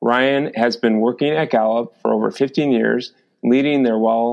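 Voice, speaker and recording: Here a man talks at a moderate pace and a medium pitch. He has an unremarkable speaking voice. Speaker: podcast host and wellness company founder. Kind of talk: podcast interview.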